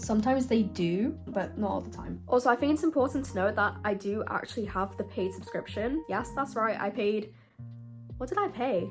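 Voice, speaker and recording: A woman speaks with a British accent at a moderate pace. Music plays in the background. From UK. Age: 20s. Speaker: university student. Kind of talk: casual talk to camera.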